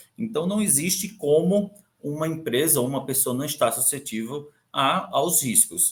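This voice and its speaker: A somewhat breathy voice at a moderate pace. The intonation is lively. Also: man. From Brazil, Recife (Pernambuco). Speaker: compliance and audit director. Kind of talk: conference talk. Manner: halting, many fillers and repeats.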